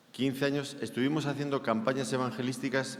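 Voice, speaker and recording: Audible room echo surrounds a man with a Spanish accent who speaks at a moderate pace and medium pitch. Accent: Spanish (Spain). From Spain. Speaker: preacher. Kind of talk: sermon.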